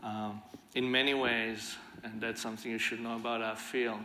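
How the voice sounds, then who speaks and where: A man at a medium pitch, monotone and flat, over light background noise. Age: 50s. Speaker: violence prevention leader; conference speaker. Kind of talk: conference talk. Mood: earnest, reflective. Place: stage. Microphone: lapel.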